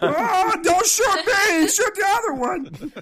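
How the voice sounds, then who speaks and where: An extremely high-pitched, put-on character voice moves at a fairly slow pace through clear background noise. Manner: pleading.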